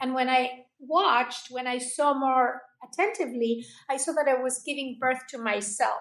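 This woman's voice is high-pitched. She speaks with a Spanish accent. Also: ordinary pitch variation, moderate pace. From Argentina. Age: 60s. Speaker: holistic health coach. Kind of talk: interview.

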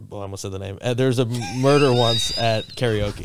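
This man speaks in a plain, everyday voice at medium pitch, with ordinary pitch variation and a fairly quick pace. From South Florida. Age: 30s. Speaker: karaoke DJ and filmmaker. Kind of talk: casual chat. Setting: studio.

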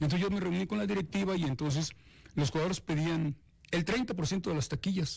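On a very clean recording with a silent background, a man speaks at a fairly quick pace in a somewhat breathy voice. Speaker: retired football coach. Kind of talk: interview. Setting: studio.

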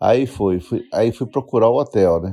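A man's dark, mellow tone with lively intonation at a moderate pace, against a quiet background. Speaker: bank employee, host's father. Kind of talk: voice message storytelling.

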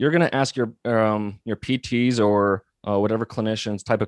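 With a quiet background and a dry, close sound with no echo, a man at medium pitch talks at a moderate pace with ordinary pitch variation, in an ordinary speaking voice. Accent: American. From Montana. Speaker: physical therapist and company founder. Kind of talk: interview.

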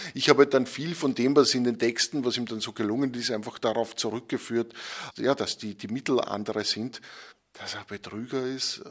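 Against a quiet background, a man with an Upper Austrian accent speaks at a medium pitch and moderate pace with fairly even intonation and big swings in loudness. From Upper Austria (Enns). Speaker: magazine editor and journalist. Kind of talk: interview. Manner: hesitant, with frequent word repetitions.

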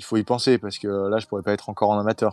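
The sound is dry and close, with no echo. Intonation stays fairly even. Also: man. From Nice, southern France. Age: 20s. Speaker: MMA fighter. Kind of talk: interview. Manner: hesitant, many fillers.

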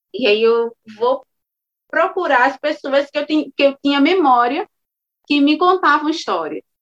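Dry and close with no echo, a woman's high voice moves at a fairly slow pace with ordinary pitch variation. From Alagoas, Brazil (São Francisco river village). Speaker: storyteller and actress. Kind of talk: interview conversation.

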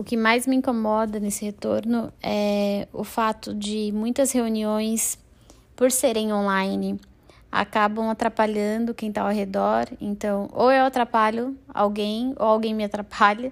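On a very clean recording with a silent background, a woman talks at a fairly high pitch. Her pace is fairly slow and her intonation monotone and flat. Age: 20s. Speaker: business planning professional. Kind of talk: recorded expert statement.

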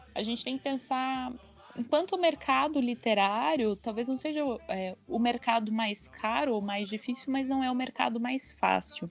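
A woman speaks in a high voice with ordinary pitch variation while music plays in the background. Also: moderate pace. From southern Brazil, Curitiba with Santa Catarina family. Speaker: journalist and translator. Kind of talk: casual chat.

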